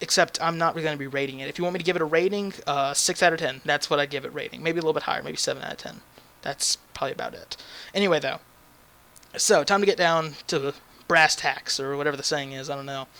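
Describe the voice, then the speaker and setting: With a bright, sharp tone, a man at a fairly high pitch speaks at a very fast pace and with fairly even intonation. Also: big swings in loudness. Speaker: gaming YouTuber. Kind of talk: game review commentary. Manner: halting, many fillers and restarts.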